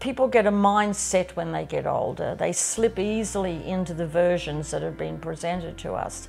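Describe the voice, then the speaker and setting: Faint music plays behind a woman with an Australian accent. She keeps a moderate pace with hardly any pauses. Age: 70s. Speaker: farmer. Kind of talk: documentary interview answer. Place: home room.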